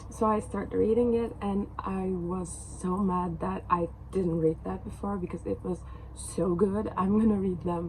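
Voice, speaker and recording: Audible room echo surrounds a woman speaking at a moderate pace, her medium pitch following a fairly even intonation. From Turkey. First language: Turkish. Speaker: book vlogger. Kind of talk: casual vlog talk to camera. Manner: halting, many fillers.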